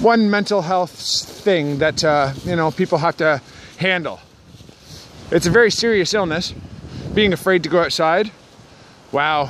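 Against light background noise, a man with a high pitch speaks at a fairly slow pace with ordinary pitch variation and long, frequent pauses, the sound dry with no echo. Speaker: vlogger talking about mental health. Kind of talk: casual vlog chat. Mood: calm, reflective. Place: forest. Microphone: phone near.

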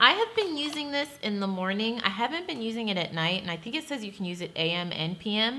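A woman talks at a fairly quick pace with hardly any pauses, her pitch swinging very widely. Light background noise sits behind her. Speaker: beauty vlogger. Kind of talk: casual product review chat. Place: home room.

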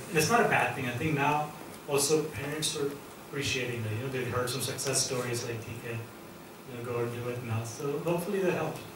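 Noticeable background noise and audible room echo surround a man with an American accent. He talks at a fairly quick pace with fairly even intonation. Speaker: investor and school entrepreneur. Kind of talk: Q&A talk at an event. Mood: relaxed, friendly. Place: hall.

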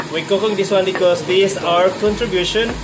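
The speech moves at a fairly quick pace. Noticeable background noise runs underneath. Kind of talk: casual vlog chat. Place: kitchen. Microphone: phone near.

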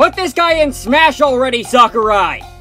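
A man is speaking. Music plays in the background. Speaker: voice actor. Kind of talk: comedic video game commentary.

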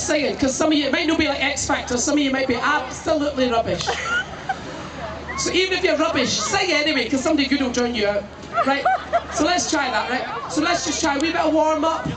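The man talks fairly quickly while noticeable background noise plays behind him. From Scotland. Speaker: comedian. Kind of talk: live stand-up crowd work. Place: stage. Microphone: pa.

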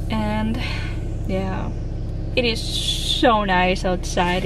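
The recording of a woman has a dry sound with no echo but noticeable background noise. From Dominican Republic. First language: Spanish. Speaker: vlogger. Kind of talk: casual vlog talk to camera. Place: car. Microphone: phone near.

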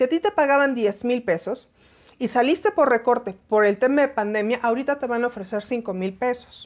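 A woman with a high pitch and lively intonation. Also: moderate pace. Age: 40s. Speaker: aviation commentator, former flight attendant; aviation commentator. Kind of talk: live-stream commentary. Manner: animated. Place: home room. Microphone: phone near.

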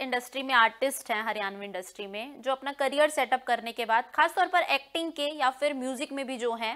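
This woman's voice is high in pitch, with ordinary pitch variation. She talks at a moderate pace. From Haryana (Rohtak); Haryana, India. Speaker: news anchor and interviewer; news anchor, interviewer. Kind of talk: interview. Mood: warm, polite. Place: studio.

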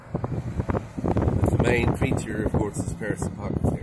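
Loud background noise sits behind a man as he talks. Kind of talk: commentary. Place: car. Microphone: phone near.

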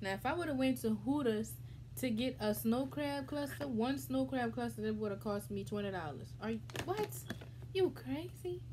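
Noticeable background noise sits under a woman speaking at a moderate pace. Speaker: mukbang vlogger. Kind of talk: casual vlog chat. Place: home room. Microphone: phone near.

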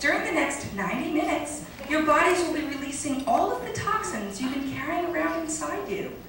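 A woman speaks at a high pitch with lively intonation and hardly any pauses. Strong room echo and light background noise surround her. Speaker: comedic actress. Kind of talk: yoga class parody narration, scripted comedy sketch. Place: stage. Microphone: camera far.

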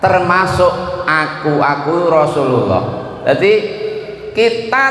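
A man's high voice at a very slow pace, with audible room echo. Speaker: religious preacher. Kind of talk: sermon. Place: hall. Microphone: handheld.

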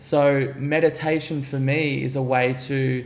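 With an Australian accent and fairly even intonation, a man talks in a room with audible echo. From Gold Coast, Australia; Queensland, Australia. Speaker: entrepreneur; podcast guest. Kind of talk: podcast interview; interview answer. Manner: casual, filler-heavy. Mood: relaxed, confident. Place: home room.

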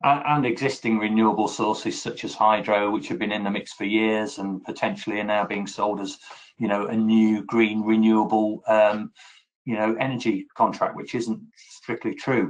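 A man with a normal speaking voice, fairly low in pitch, at a moderate pace and with fairly even intonation. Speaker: energy company client services head. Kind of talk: corporate video interview.

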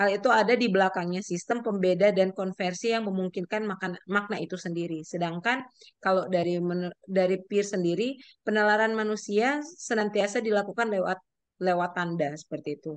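Her voice has a clear, smooth tone and a medium pitch. The woman talks at a fairly quick pace with ordinary pitch variation.

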